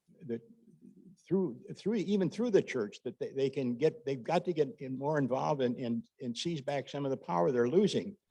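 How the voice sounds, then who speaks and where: A man's dark, mellow voice, fairly high in pitch, with very wide pitch swings. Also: moderate pace. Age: 80s+. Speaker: audience member asking a question. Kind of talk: audience question. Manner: halting, repeats words.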